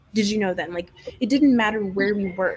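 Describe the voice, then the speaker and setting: There is noticeable background noise as a woman speaks at a medium pitch. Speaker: true crime youtuber. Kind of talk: casual chat. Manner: soft-spoken.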